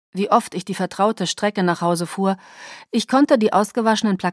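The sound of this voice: In an unforced reading voice, the pitch varies in an ordinary way.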